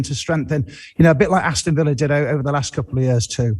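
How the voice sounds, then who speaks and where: With a slight Merseyside accent, a man speaks very fast in a somewhat breathy voice at a fairly high pitch. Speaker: football pundit. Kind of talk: studio discussion. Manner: halting, with restarts.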